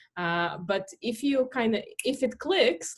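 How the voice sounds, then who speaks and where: A woman speaks with a Russian accent. Her pitch is high. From Latvia, Russian-speaking family. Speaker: startup founder, marketing expert. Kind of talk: podcast interview.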